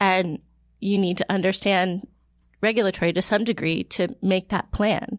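With an American accent and a normal speaking voice, a woman speaks at medium pitch and a moderate pace, her intonation fairly even and loudness very even, in a dry, close sound with no echo on a very clean recording with a silent background. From Ohio. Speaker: health researcher. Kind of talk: interview. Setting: studio.

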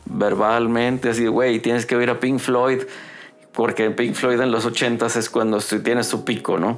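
In a Mexican accent, a man talks at a fairly slow pace with fairly even intonation and very even loudness, with noticeable background noise behind him. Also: medium pitch for a man. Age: 50s. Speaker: rock guitarist and songwriter. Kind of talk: casual chat. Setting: home studio.

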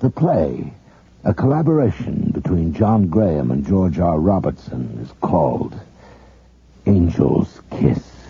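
A man with a very deep, low pitch speaks in very wide pitch swings over noticeable background noise. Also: fairly slow pace. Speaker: radio announcer. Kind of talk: 1980s radio drama announcer. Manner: formal, measured.

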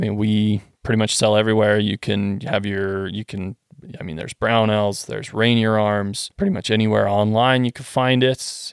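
With a Western Canadian accent, a man speaks at a moderate pace and fairly low pitch. His intonation is fairly even, in a dry, close sound with no echo. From Western Canada. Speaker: gun parts engineer. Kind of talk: casual chat.

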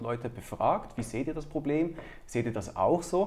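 A somewhat breathy man at a fairly quick pace, with ordinary pitch variation. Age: 30s. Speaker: entrepreneur. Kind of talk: interview.

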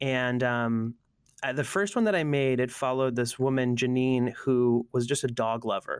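A normal speaking voice with an American accent, moderate pace, fairly even intonation and very even loudness, on a very clean recording with a silent background. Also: man, medium pitch for a man. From US Northeast, Allentown, Pennsylvania. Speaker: creative strategist. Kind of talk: casual interview chat.

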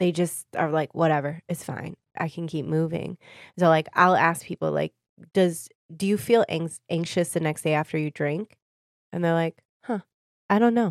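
A woman with a Michigan accent speaks at a moderate pace, with ordinary pitch variation and long, frequent pauses. The recording is very clean with a silent background and a dry, close sound with no echo. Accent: Michigan (Inland North) American. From Michigan, Detroit area (Warren). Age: 30s. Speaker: wellness practitioner. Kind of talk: casual interview.

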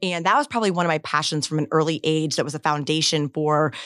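A woman with an American accent and a very deep, low pitch, fairly quick and monotone in flat intonation, on a very clean recording with a silent background. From Florida, Gulf Coast (Bradenton). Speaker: state agency head and lawyer. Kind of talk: interview.

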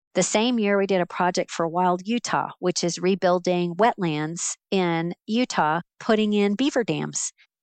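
A woman with an American accent speaks at a fairly slow pace in a normal speaking voice. Her pitch is medium, with ordinary pitch variation. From Central Florida. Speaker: business professor. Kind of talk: interview.

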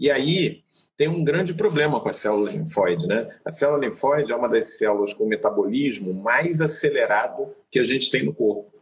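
At a moderate pace and with hardly any pauses, a man with a fairly high voice and vocal fry swings his pitch very widely while keeping his loudness very even. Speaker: physician. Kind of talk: educational live stream chat. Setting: video live stream.

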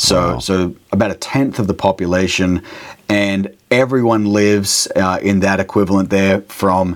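A man with an Australian accent at a fairly slow pace, very deep and low in pitch with fairly even intonation, over noticeable background noise. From Australia, Brisbane area. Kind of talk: interview, casual chat. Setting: remote call, late at night.

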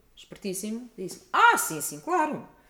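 Noticeable background noise is present throughout. The woman's pitch swings very widely. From Portugal. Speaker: musicologist and opera singer. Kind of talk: interview.

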